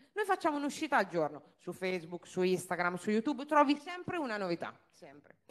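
A woman speaks at a fairly quick pace with an animated tone. Her pitch swings very widely. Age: 30s. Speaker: car dealership owner; speaker. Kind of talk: business talk to an audience. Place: stage. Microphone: handheld.

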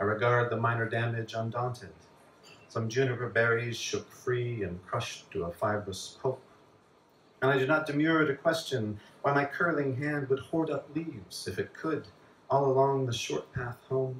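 There is light background noise and audible room echo as a man talks at a moderate pace with ordinary pitch variation. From US Southwest. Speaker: poet. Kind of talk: poetry reading. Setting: bar with live audience. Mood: calm, measured delivery. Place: bar.

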